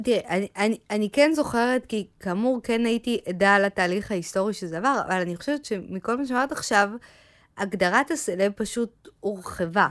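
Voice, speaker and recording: With a plain, everyday voice, a woman talks at a moderate pace with ordinary pitch variation on a very clean recording, silent background, the sound dry and close with no echo. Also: fairly high pitch for a woman. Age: 40s. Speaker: podcast co-host, marketing manager. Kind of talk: casual chat.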